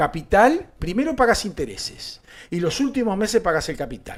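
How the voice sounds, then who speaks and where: The speaker talks at a moderate pace with a Uruguayan accent. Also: man. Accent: Uruguayan Rioplatense Spanish. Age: 60s. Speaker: political talk show host. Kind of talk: political commentary chat. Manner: animated.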